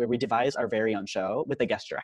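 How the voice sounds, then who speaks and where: A man with an American accent, very fast pace and lively intonation, over a quiet background. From Irvine, California; California. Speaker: university student tour guide. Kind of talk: informational presentation. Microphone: video call.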